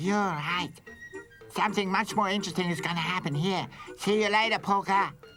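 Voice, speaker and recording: In a cartoonish character voice at a middle pitch, the speaker moves at a fairly quick pace with long, frequent pauses, over faint background music. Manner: teasing, mocking.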